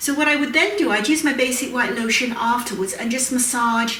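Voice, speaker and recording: A woman speaks at a high pitch, with noticeable background noise and audible room echo. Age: 60s. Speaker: aromatherapy educator and cosmetics maker. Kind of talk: tutorial. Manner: casual, with frequent fillers.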